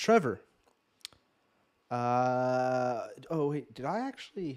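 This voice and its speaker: The man speaks at a very slow pace. His pitch varies in an ordinary way. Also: medium pitch for a man. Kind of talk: casual chat. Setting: livestream. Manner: stuttering.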